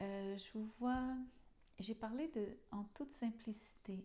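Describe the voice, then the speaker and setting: Very slow and somewhat breathy, a woman speaks in a dark, mellow tone at a fairly high pitch with ordinary variation. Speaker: tarot reader. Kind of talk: tarot reading monologue. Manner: halting, with fillers.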